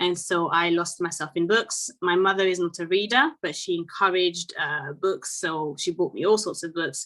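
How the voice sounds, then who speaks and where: A woman with a French accent, medium in pitch, bright and sharp in tone, at a moderate pace. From Côte d'Ivoire and France. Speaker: children's author and French teacher. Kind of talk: interview. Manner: hesitant, with fillers and repetitions.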